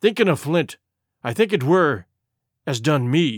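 Using a put-on character voice, a man growls in a raspy, fairly high pitch at a moderate pace, in a very clean recording with a silent background. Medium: read story. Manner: growling, gloomy.

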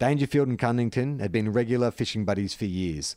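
A passage is read aloud, the voice natural throughout.

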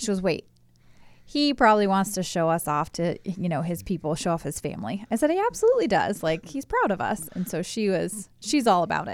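A woman speaks at a fairly quick pace in a plain, everyday voice, medium in pitch, with lively intonation. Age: 30s. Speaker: host's wife. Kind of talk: casual chat.

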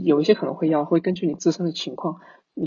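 A man's fairly high voice in a monotone, flat delivery. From Fujian, China. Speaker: software engineer. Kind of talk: casual interview.

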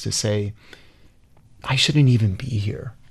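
Speaking with an American accent, a somewhat breathy man keeps a moderate pace at a medium pitch. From US Midwest, Chicago. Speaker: hotel founder and heritage preservationist. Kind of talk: interview. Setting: studio.

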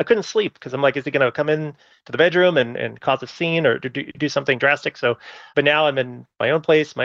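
In a normal speaking voice, a man talks at a fairly quick pace with a fairly high pitch and fairly even intonation, the sound dry and close with no echo over a quiet background. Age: 40s. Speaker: caller. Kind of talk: advice call.

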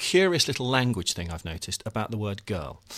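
Talking very fast, a man shows very wide pitch swings and vocal fry. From English Midlands. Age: 40s. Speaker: author. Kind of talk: panel discussion.

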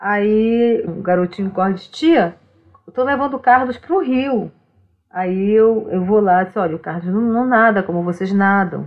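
A woman talks at a moderate pace. Her pitch sits in the medium range, with ordinary variation. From Brazilian Amazon, Omágua Kambeba people. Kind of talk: casual interview conversation. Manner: repetitive, halting.

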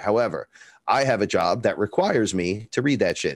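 A man speaks in an animated tone with a Bronx accent. The sound is dry and close, with no echo. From New York, the Bronx. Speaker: rapper and neo-shaman. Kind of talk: interview storytelling. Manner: talkative.

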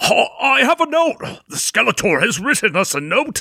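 A man's cartoonish character voice, extremely high-pitched with big pitch swings, bright and sharp in tone, with a slightly husky edge, vocal fry, and a moderate pace

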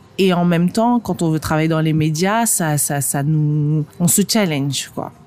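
This woman's voice sits very deep and low, with ordinary pitch variation at a very slow pace over noticeable background noise. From northern France. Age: 30s. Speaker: magazine editor and entrepreneur. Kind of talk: interview. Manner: halting.

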